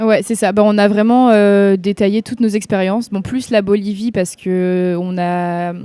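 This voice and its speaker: A woman talks at a fairly slow pace with hardly any pauses, her medium-pitched voice dark and mellow in tone. Her intonation stays monotone and flat. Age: 20s. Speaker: university student. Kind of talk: testimony.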